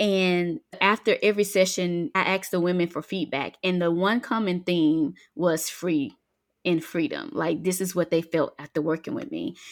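Speaking at a moderate pace with lively intonation, a woman with a Southern US accent has a fairly low voice, captured in a very clean recording with a silent background. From US South, Mississippi Delta. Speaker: freedom coach and author. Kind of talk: faith-based podcast interview.

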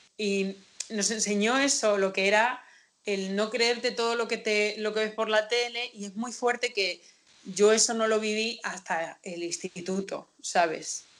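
In a plain, everyday voice, a woman speaks at a fairly slow pace with a medium pitch and fairly even intonation. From Castilla-La Mancha, Spain. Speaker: podcast host. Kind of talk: quiz hosting; casual chat.

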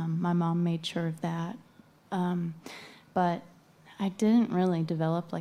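This woman has an American accent and a fairly low pitch. Her tone is dark and mellow, at a moderate pace. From western Virginia. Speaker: singer-songwriter. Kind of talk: casual interview. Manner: quiet, soft-spoken.

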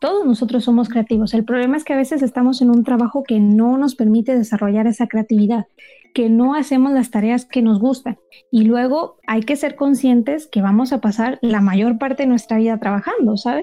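A woman's dark, mellow voice at a high pitch, fairly quick pace, ordinary pitch variation and very even loudness. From Mexico, Monterrey. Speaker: mentor for creative entrepreneurs. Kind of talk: interview. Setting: remote call.

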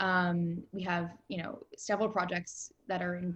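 This is a woman's voice at a fairly low pitch. It sounds somewhat breathy. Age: 20s. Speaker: film executive. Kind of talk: interview.

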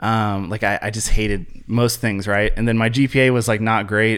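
With an American accent, a man talks in an unremarkable speaking voice at a medium pitch, his intonation fairly even, on a very clean recording with a silent background. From US Midwest, Columbus, Ohio. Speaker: social media content creator. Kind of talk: casual interview chat.

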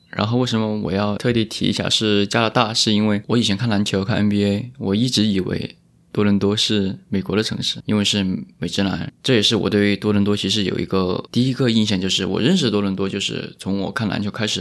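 This man has a plain, everyday voice, fairly low in pitch, with fairly even intonation. He talks at a fairly quick pace in a very clean recording with a silent background. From Chongqing (Wanzhou). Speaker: podcast host. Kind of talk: casual chat. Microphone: new microphone.

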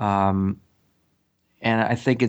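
The man's pitch is fairly low and his intonation is monotone and flat. The background is quiet. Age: 50s. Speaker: musician and educational performer. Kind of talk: interview. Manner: halting, many fillers.

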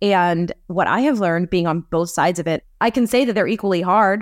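This woman has an ordinary speaking voice at medium pitch with ordinary pitch variation, recorded dry and close with no echo on a very clean track with a silent background. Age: 30s. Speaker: journalist and podcast host. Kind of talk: casual interview.

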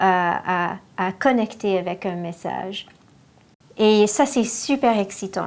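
This is a woman at medium pitch. Her pitch varies in an ordinary way. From Ontario, Canada (Toronto area). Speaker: art curator and foundation director. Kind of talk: casual interview. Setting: on location in an office building. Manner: halting, many hesitations.

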